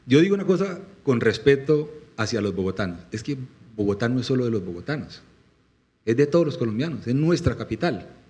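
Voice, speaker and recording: A man at medium pitch with a dark, mellow, somewhat breathy tone, very wide pitch swings, a fairly quick pace and long, frequent pauses. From Colombian Llanos (Meta). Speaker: presidential candidate. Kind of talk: political interview talk. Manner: impassioned.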